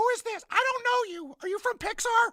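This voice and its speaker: This is a put-on character voice, extremely high-pitched and squeaky. It moves at a fairly quick pace. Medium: comedy sketch.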